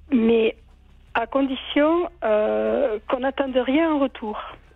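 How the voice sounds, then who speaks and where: The speaker talks at a very slow pace. The pitch varies in an ordinary way. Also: woman, very even loudness. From southern France, Aude. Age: 70s. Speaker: caller. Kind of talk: radio call-in. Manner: halting.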